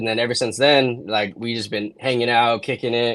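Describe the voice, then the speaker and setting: A medium-pitched man with a West Coast US accent and monotone, flat intonation. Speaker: videographer and content creator. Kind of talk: casual chat.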